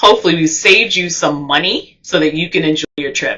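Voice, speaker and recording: A woman with a New Jersey accent, her pitch fairly low and its variation ordinary. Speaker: travel vlogger. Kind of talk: tutorial. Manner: fast.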